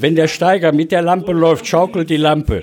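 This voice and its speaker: Noticeable background noise sits behind a man with a fairly high pitch. He talks at a fairly quick pace with ordinary pitch variation. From Ruhr area, Germany (Recklinghausen). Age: 70s. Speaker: retired miner and mining lamp collector. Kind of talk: interview. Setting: collectors' meeting in a cellar.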